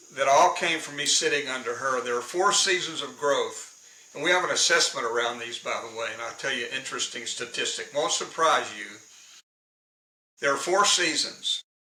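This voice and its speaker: Audible room echo surrounds a man's fairly high voice as he speaks at a moderate pace with ordinary pitch variation and big swings in loudness. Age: 70s. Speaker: leadership consultant and professional speaker. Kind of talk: interview.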